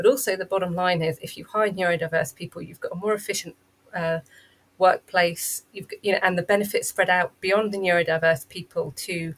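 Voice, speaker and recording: A woman speaks in a fairly low, somewhat breathy voice at a moderate pace. Her intonation stays fairly even. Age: 40s. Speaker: neurodiversity coach and consultant. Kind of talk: interview. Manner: halting.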